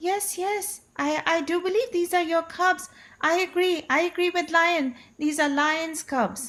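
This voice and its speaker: In a put-on, squeaky character voice, a woman talks at a fairly slow pace with an extremely high pitch, on a very clean recording with a silent background. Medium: read story. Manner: hesitant, stammering.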